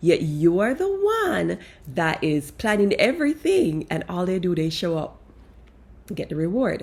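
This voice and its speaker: This is a woman with a non-native accent. Her pitch is fairly low. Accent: foreign accent, kept. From outside the US, moved to America as young adult. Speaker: life coach. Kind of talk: casual monologue. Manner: animated.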